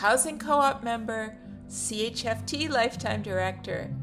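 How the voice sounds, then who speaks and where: A woman talks fairly slowly. Background music accompanies her. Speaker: profile writer and narrator. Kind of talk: reading a written personal profile.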